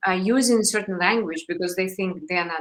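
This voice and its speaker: A woman with a non-native accent and a medium pitch. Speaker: interviewer. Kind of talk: interview.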